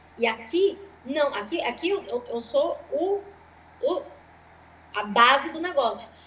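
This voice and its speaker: A woman speaks at a high pitch and a very slow pace, with very wide pitch swings and long, frequent pauses. Noticeable background noise runs underneath. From Brazil. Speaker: stand-up comedian. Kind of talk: interview.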